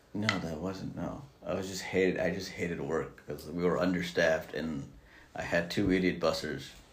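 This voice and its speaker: A man's very deep, low-pitched voice with audible room echo. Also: ordinary pitch variation, moderate pace. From Mexican heritage. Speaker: podcast co-host. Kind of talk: casual chat.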